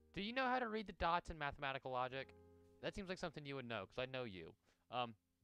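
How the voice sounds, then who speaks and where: Over music in the background, a man talks at a very fast pace with a fairly high pitch and very wide pitch swings. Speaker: Vtuber streamer. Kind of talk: casual livestream talk while reading a book aloud.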